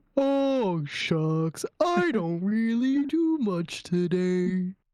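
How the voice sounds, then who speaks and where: A put-on character voice of middle pitch delivers its lines at a very slow pace. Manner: slow, gloomy, sighing.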